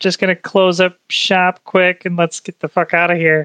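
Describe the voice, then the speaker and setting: A put-on character voice at a moderate pace, monotone and flat in intonation. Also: man, high pitch for a man. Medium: actual play. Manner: blunt, coarse.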